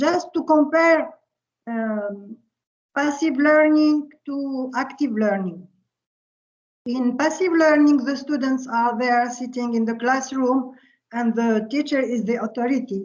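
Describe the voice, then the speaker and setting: Speaking at a fairly slow pace, a woman uses a high pitch with ordinary variation. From Tunisia. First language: Arabic. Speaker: physics professor. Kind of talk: lecture. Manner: halting.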